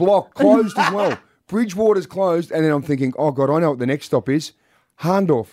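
The delivery is animated, with lively intonation at a fairly quick pace. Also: man, high pitch for a man. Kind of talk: radio breakfast-show banter, joking with co-host. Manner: quick-witted, cheeky, teasing, animated.

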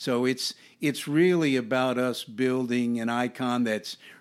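A man speaks at a fairly slow pace in a medium pitch, with an ordinary speaking voice and ordinary pitch variation. The recording is very clean, with a silent background. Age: 60s. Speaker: museum director, retired navy admiral. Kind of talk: interview.

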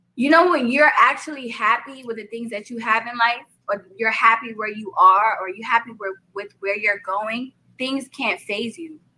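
A woman's fairly high voice with ordinary pitch variation and a New York accent. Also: moderate pace, big swings in loudness. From Brooklyn, New York. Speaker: rapper and singer. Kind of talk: interview.

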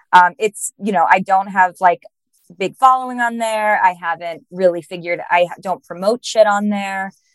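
A woman with an unremarkable speaking voice, medium pitch and fairly even intonation at a moderate pace, in a dry, close sound with no echo. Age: 30s. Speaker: podcast host, astrologer. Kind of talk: casual interview chat.

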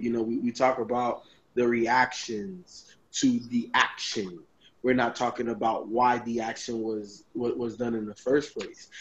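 The speaker is a man with a medium pitch. He goes at a fairly slow pace. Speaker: sports podcast panelist. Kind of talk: casual sports talk show. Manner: animated.

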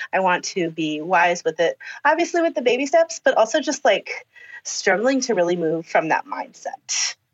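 A woman with a fairly high voice speaks at a moderate pace. Her pitch swings very widely. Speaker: elementary school teacher. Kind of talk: casual chat. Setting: video call.

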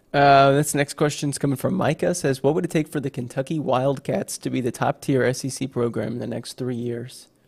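A man with a normal speaking voice and a fairly high pitch talks at a moderate pace with fairly even intonation, in a dry, close sound with no echo. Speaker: show producer reading chat. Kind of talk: casual chat.

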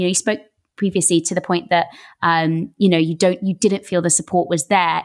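With an English accent, a woman of medium pitch speaks at a fairly quick pace in a very clean recording with a silent background. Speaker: podcast host. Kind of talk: interview.

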